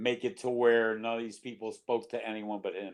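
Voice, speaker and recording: Moderately paced, a man talks at a medium pitch. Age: 60s. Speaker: rock singer. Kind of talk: casual interview.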